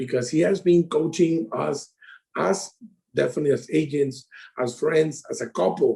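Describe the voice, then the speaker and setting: A man with a fairly high pitch and a dark, mellow tone speaks at a moderate pace, with ordinary pitch variation and vocal fry. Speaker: insurance sales advisor. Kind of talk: casual interview chat. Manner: halting.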